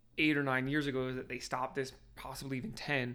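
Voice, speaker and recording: Very clean, silent-background recording of a man with a New Jersey accent, a fairly high pitch, a bright, sharp tone and fairly even intonation. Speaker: corrections officer. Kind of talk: casual chat.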